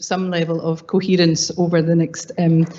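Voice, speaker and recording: Spoken at a moderate pace with a Scottish accent, the delivery has a monotone, flat intonation. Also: woman. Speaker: academic panelist. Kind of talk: conference panel talk. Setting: conference panel. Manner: hesitant, many fillers.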